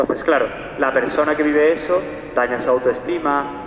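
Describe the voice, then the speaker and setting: With audible room echo and noticeable background noise, a man talks in a fairly high pitch. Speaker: psychologist and sexologist. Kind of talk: public talk. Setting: church hall with live audience. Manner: fast.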